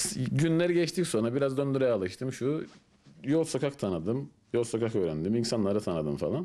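With a Turkish Cypriot accent, a man speaks at a moderate pace in a dark, mellow tone with very wide pitch swings. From Northern Cyprus, Famagusta; Northern Cyprus. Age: 30s. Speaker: construction worker; interviewee. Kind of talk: interview. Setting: at home. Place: home room. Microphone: handheld.

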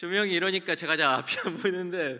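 Over a quiet background, a man talks at a fairly high pitch. Vocal fry runs through his voice. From South Korea. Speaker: conference speaker. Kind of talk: conference talk. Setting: stage with audience. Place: hall. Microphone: podium.

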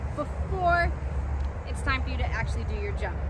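A woman at a moderate pace, dry sound with no echo, loud background noise behind her. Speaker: cheer instructor. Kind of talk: tutorial. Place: open country. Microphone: camera far.

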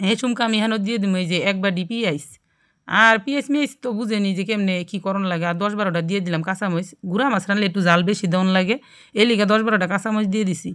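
A very clean recording with a silent background, featuring a woman at a medium pitch with ordinary pitch variation. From Bangladesh, Gazipur. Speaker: cooking YouTuber. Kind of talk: cooking tutorial. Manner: casual, chatty.

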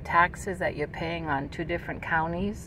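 The sound is dry, with no echo. Light background noise can be heard. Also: woman. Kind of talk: casual vlog chat. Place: car. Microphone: phone near.

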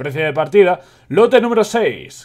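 Lively intonation marks this man speaking with a Spanish accent. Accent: Peninsular Spanish. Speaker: video game youtuber reading a book aloud. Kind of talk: reading aloud with casual commentary. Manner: halting, stumbles and self-corrects.

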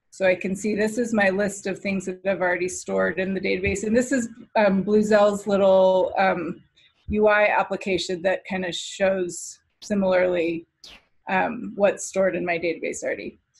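Over a quiet background, a woman speaks at a moderate pace in a somewhat breathy, monotone voice with flat intonation. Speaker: software developer. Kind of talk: product demo presentation. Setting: video call. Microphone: video call.

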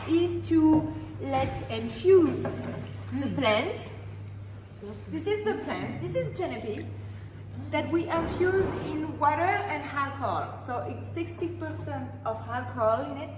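The pace is very slow. Noticeable background noise runs underneath. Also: woman. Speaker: distillery guide. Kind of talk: guided tour explanation. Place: factory. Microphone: lapel.

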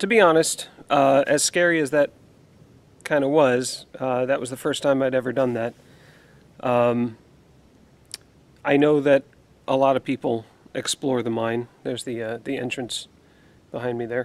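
A man talks at a moderate pace with fairly even intonation and long, frequent pauses. The sound is dry with no echo. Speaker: outdoor explorer vlogger. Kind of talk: casual vlog chat. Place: forest. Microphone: phone near.

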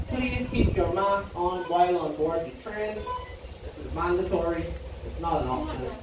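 Over noticeable background noise and audible room echo, a man speaks at a fairly quick pace. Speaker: train conductor or tour guide. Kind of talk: tour safety announcement. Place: station.

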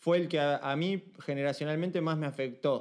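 Over a quiet background, a man with a Uruguayan accent speaks at a fairly high pitch. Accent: Rioplatense Spanish (Uruguayan). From Uruguay, Montevideo. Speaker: street dancer and dance teacher. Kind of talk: casual chat.

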